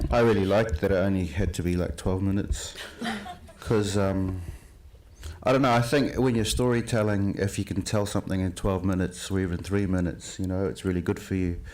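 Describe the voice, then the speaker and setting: A man with a New Zealand accent talks at a fairly quick pace in a fairly low pitch with ordinary variation. Noticeable background noise sits behind him. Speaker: filmmaker. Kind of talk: panel discussion.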